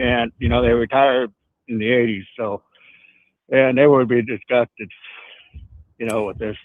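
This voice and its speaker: At a moderate pace, a man with a Midwestern US accent speaks at a medium pitch. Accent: US Midwest. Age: 70s. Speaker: caller. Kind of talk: call-in conversation.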